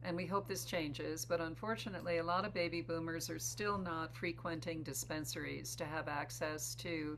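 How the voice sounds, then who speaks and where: With audible room echo behind her, a woman talks at a moderate pace with hardly any pauses. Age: 70s. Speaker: psychotherapist and beverage company co-founder. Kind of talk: interview. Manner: hesitant, many fillers.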